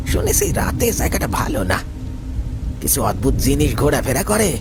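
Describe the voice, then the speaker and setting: A man speaks in a put-on character voice at a moderate pace, with clear background noise. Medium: read story. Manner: humble and polite at first, later menacing.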